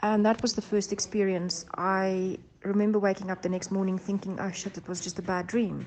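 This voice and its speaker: Moderately paced female speech at a medium pitch, monotone and flat in intonation. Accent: South African. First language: Afrikaans. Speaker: abduction experiencer. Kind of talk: testimony. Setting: recorded voice notes. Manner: halting, many fillers.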